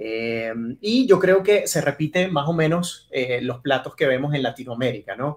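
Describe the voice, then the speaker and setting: A man speaks in a normal speaking voice, fairly high in pitch. His pace is fairly slow and his intonation lively. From Venezuela, Maracaibo. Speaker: TV journalist. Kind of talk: interview conversation. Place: office.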